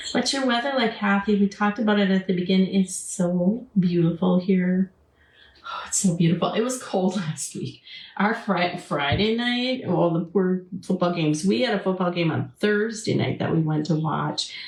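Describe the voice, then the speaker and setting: Speaking at a moderate pace in an Upper Midwest accent, a woman is heard over noticeable background noise. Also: medium pitch for a woman, ordinary pitch variation. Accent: Upper Midwest American. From Wisconsin. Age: 60s. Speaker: craft channel host. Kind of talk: live craft tutorial chatting with viewers. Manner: casual, chatty.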